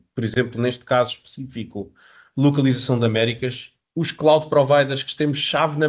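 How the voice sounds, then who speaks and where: A man speaks with a European Portuguese accent at a fairly high pitch. His voice is somewhat breathy. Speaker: software company representative. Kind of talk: webinar sales presentation. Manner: halting, many repetitions and fillers.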